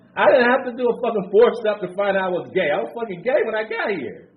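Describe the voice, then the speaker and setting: With noticeable background noise and audible room echo, a man speaks very fast in a high pitch with an animated tone. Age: 60s. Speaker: recovery speaker. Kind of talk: recovery share. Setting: conference stage with audience.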